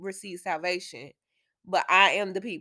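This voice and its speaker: In a very clean recording with a silent background, a woman speaks at a moderate pace in a medium pitch, animated and bright, sharp in tone. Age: 30s. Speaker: podcast host. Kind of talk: casual teaching monologue.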